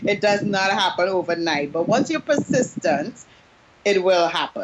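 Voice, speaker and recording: A woman with a Trinidadian accent speaks at a moderate pace in a medium pitch, her voice swinging very widely up and down over noticeable background noise. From Trinidad and Tobago. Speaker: business coach. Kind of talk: interview. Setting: Skype call.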